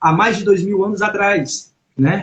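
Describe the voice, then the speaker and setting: The speaker is a man with a high pitch. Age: 40s. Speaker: church member giving testimony. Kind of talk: testimony. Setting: live stream. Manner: halting.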